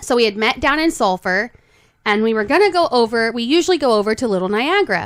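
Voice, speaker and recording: Speaking very fast with an American accent, a woman uses a fairly high pitch and lively intonation. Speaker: podcast co-host. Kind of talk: casual chat.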